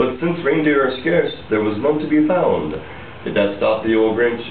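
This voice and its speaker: A man's voice over noticeable background noise. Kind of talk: storybook reading in rhyme. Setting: casual party room.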